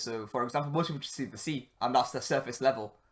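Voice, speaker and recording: Speaking at a very fast pace, a man with a northern English accent uses a medium pitch with ordinary pitch variation on a very clean recording with a silent background. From northern England. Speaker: podcast host. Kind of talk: solo podcast monologue. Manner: casual, filler-heavy.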